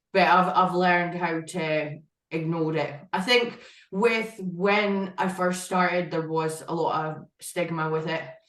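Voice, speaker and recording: A woman with a strong northeast Scottish accent speaks at a fairly slow pace and fairly low pitch. Her intonation stays fairly even, with audible room echo. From Scotland, northeast (Aberdeen area). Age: 20s. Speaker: IFBB pro bodybuilder. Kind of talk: podcast interview.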